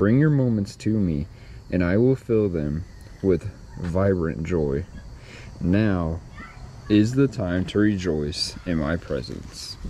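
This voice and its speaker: Very slowly and with long, frequent pauses, a man with a very deep, low pitch speaks in a dry sound with no echo and light background noise. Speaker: vlogger. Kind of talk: reading aloud a devotional. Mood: calm, reflective. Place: garden. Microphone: phone near.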